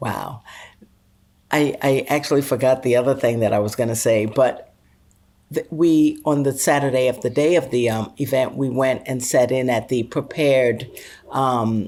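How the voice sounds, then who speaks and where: This woman has a very deep, low pitch and a dark, mellow tone, her intonation fairly even. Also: moderate pace. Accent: American. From Brooklyn, New York. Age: 60s. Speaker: podcast co-host. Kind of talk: casual chat.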